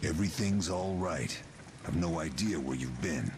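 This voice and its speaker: This man puts on a character voice pitched very deep and low, at a moderate pace. Background noise is clearly heard. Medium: video game.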